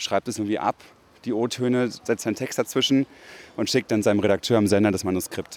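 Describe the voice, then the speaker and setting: A normal speaking voice from a man, fairly low in pitch, with ordinary pitch variation, a fairly quick pace and a dry, close sound with no echo. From Berlin, Germany. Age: 20s. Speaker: radio feature author. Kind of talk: interview.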